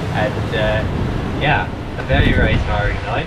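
A man's voice against loud background noise. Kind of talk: casual vlog chat. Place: boat. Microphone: camera far.

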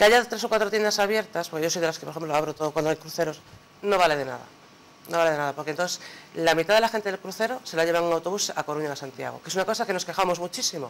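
A man talks at a very fast pace in a high pitch with ordinary pitch variation, over light background noise. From Ferrol, Galicia. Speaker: shop owner. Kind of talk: TV panel debate. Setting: TV studio. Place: studio.

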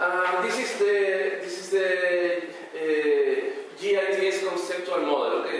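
Strong room echo and light background noise surround a man whose pitch varies in an ordinary way. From Canary Islands, Spain. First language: Spanish. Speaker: conference presenter, researcher. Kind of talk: conference talk. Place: hall.

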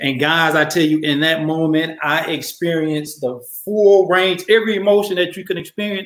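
A man talks at a moderate pace with ordinary pitch variation. There is audible room echo over a quiet background. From Atlanta, Georgia. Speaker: storyteller. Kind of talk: live personal storytelling. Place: home room. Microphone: webcam.

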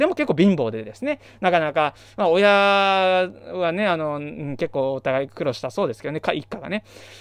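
The man's voice sits at a fairly high pitch, with lively intonation. The sound is dry with no echo, over a quiet background. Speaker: math education YouTuber. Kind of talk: solo lecture-style talk. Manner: fast. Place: home room. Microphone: studio mic.

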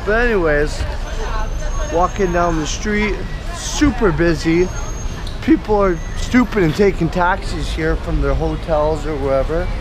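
Crowd noise fills the background while a man speaks at a fairly slow pace. He leaves long, frequent pauses, and the sound is dry with no echo. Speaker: vlogger. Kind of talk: casual vlog chat. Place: street. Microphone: phone near.

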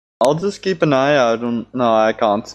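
A man's medium-pitched voice with lively intonation. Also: moderate pace.

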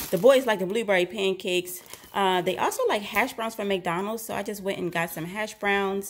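There is light background noise as a woman speaks. Her pace is moderate and her intonation fairly even. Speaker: vlogger mother. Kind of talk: casual grocery haul vlog chat. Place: kitchen. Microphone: phone near.

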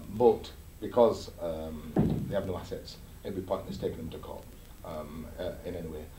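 A somewhat breathy male voice with ordinary pitch variation, audible room echo and light background noise. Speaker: interviewee. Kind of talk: interview answer. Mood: defensive, dismissive of accusations. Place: office.

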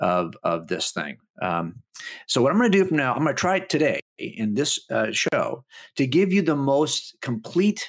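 Over a quiet background, a man with vocal fry and very wide pitch swings speaks at a moderate pace. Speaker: guest radio host. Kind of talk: radio show monologue. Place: studio.

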